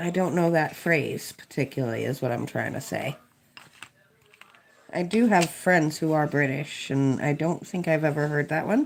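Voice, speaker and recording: Over noticeable background noise, a woman with an American accent speaks at a moderate pace in a very deep, low pitch with ordinary pitch variation. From Kentucky, US. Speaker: DIY restorer and livestreamer. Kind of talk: casual livestream chat while coloring.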